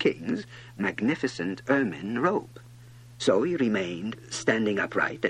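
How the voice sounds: A natural reading voice carries through the whole recording.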